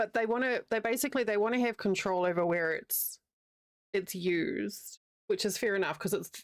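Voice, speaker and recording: A woman with a New Zealand accent speaks at medium pitch with lively intonation and a moderate pace. The recording is very clean, the background silent. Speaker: crochet streamer. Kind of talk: casual chat. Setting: live stream.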